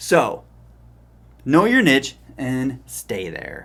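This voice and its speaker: A man with an animated tone, vocal fry and very wide pitch swings, on a very clean recording with a silent background. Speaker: small business marketing coach. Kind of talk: tutorial.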